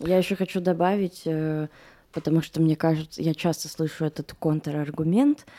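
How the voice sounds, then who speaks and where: A woman talks at a moderate pace with very even loudness, her pitch fairly low and her tone dark and mellow. The sound is dry and close, with no echo. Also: fairly even intonation, very clean recording, silent background. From Moscow, Russia. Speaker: producer. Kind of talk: casual chat.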